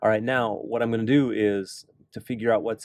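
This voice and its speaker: Recorded with a dry, close sound and no echo, a man speaks at a moderate pace in an ordinary speaking voice with a fairly low pitch. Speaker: math teacher. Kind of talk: tutorial. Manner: casual.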